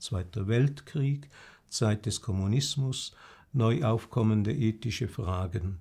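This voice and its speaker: At a very slow pace, a man speaks in a somewhat breathy voice with a dark, mellow tone and ordinary pitch variation. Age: 80s+. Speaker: retired bishop; bishop. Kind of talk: prepared personal statement; formal memoir narration. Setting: video recording. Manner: formal. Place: home room.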